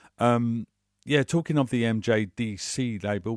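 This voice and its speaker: A man with a British accent and a relaxed tone uses ordinary pitch variation in a very clean recording with a silent background and a dry, close sound with no echo. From UK. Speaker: radio DJ. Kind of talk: radio DJ patter, chatty and informal, introducing tracks and music news. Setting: radio studio.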